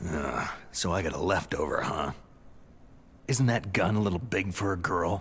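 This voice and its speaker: A man puts on a character voice with a very deep, low pitch and ordinary pitch variation. He keeps a moderate pace with long, frequent pauses, and clear background noise sits behind him. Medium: video game. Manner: terse, understated.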